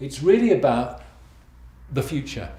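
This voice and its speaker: Audible room echo surrounds a man speaking in a British accent. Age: 60s. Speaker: financial planner. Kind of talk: video blog monologue. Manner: conversational, with hesitations.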